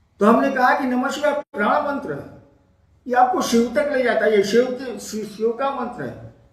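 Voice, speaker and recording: Noticeable background noise and audible room echo around a man's speech. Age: 70s. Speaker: spiritual teacher. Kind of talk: spiritual Q&A discourse. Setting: Facebook live stream.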